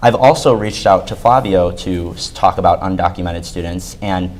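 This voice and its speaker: With an American accent, a man talks at a very deep, low pitch and fairly even intonation over noticeable background noise. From Chicago suburbs, US. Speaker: student government candidate. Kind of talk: debate.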